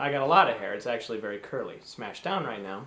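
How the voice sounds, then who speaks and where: Lively intonation from a man with an American accent at a moderate pace. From US Midwest, Cleveland, Ohio. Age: 30s. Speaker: performer. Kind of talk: casual self-introduction to camera. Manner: animated.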